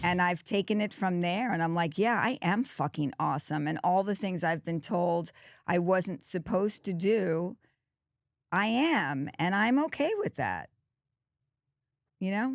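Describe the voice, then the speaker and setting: Over a very clean recording with a silent background, lively intonation unfolds at a fairly slow pace with long, frequent pauses. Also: woman, medium pitch for a woman, dry, close sound with no echo. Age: 60s. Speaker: podcast host. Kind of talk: casual chat.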